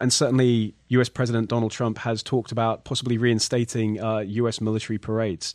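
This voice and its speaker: A man with a British accent speaks very fast at a medium pitch, his pitch varying in an ordinary way. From Britain. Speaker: podcast host. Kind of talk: podcast interview.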